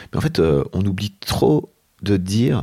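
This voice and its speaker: A man speaks in a very deep, low pitch with a dark, mellow tone and vocal fry. His pitch swings very widely. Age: 40s. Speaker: entrepreneur and podcaster. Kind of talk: interview. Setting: at the guest's home.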